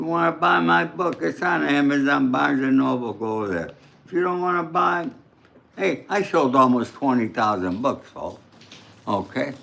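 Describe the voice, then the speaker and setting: Speaking in a New York accent at a moderate pace, a man with a medium pitch makes very wide pitch swings. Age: 80s+. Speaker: true crime commentator, author. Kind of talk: livestream commentary.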